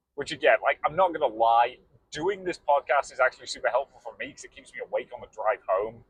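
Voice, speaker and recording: A man talks at a fairly quick pace with a British accent. The sound is dry and close, with no echo. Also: big swings in loudness. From England. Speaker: podcast co-host. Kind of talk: casual chat. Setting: in a car.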